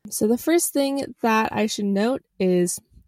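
A woman's fairly high-pitched, ordinary speaking voice with ordinary pitch variation, in a dry, close sound with no echo. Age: 20s. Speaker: podcast host. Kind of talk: casual solo monologue. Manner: casual, conversational with filler words.

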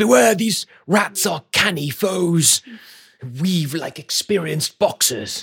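A man does a put-on character voice pitched high. He talks at a fairly slow pace. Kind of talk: posh period exclamations. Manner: pompous, formal.

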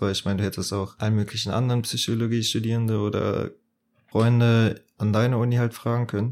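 A plain, everyday voice: a man at medium pitch with ordinary pitch variation and a fairly quick pace, on a very clean recording with a silent background. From southwestern Germany, Bitburg (Eifel). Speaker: podcast co-host, psychology student. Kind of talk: casual chat.

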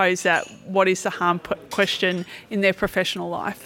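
A woman with an Australian accent speaks at a fairly quick pace, her medium-pitched voice bright and sharp on a very clean recording with a silent background. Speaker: skeptic activist. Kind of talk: interview. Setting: at a convention.

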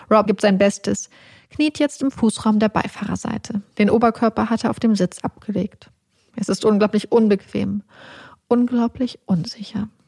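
A woman's fairly high, somewhat breathy voice at a moderate pace, with fairly even intonation and a dry, close sound with no echo. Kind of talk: true-crime narration, scripted reading of a story. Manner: tense, dramatic, vivid storytelling.

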